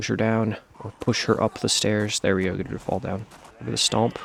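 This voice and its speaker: The man's pitch is fairly low and his pace fairly quick, with noticeable background noise throughout. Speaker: gaming YouTuber. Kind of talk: gameplay tutorial commentary.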